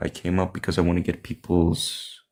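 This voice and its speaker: A man speaks with a Greek accent. His pitch is very deep and low. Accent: non-native English, Greek. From Greece. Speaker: caller. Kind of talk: call-in question. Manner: hesitant.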